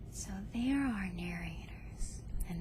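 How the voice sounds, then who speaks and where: A soft-spoken voice amid noticeable background noise. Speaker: ASMR creator. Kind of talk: book review.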